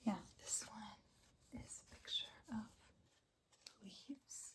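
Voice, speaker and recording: She speaks in a whisper. The woman's pace is very slow. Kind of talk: ASMR soft spoken ramble. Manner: soft-spoken, whispery.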